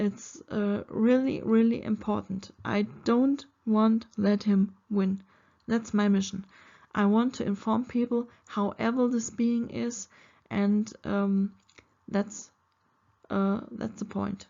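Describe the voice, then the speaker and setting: A woman speaks very slowly in a fairly high, somewhat breathy voice. Her intonation stays flat and monotone. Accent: German. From Germany. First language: German. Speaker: spiritual video creator. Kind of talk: spiritual monologue to camera. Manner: halting, many fillers.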